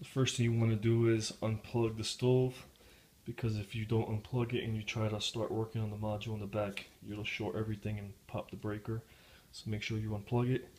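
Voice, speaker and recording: The voice is somewhat breathy and moves at a fairly quick pace. Its intonation stays monotone and flat over light background noise. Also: man, fairly low pitch for a man. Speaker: home repair demonstrator. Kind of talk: tutorial. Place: kitchen. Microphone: phone near.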